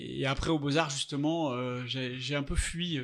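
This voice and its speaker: The delivery comes in a normal speaking voice with fairly even intonation. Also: man. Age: 60s. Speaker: artist. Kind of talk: interview. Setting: artist's studio.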